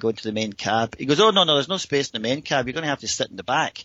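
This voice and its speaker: The speaker is a man. He has a Scottish accent. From Scotland. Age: 50s. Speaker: paraglider pilot. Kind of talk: storytelling.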